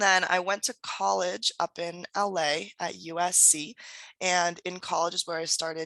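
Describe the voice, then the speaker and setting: Against a quiet background, a woman speaks at a fairly low pitch with a bright, sharp tone and ordinary pitch variation, the sound dry and close with no echo. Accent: Californian. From US West Coast, San Diego, California. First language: German and Spanish. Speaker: entrepreneur and author. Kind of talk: podcast interview.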